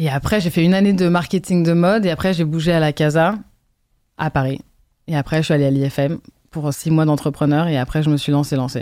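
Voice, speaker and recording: A woman speaks at a fairly quick pace in a very deep, low pitch with ordinary variation and a dark, mellow tone. The recording is very clean, with a silent background. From France and Brazil, partly raised in London. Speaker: fashion designer and content creator. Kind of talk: casual interview. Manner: halting.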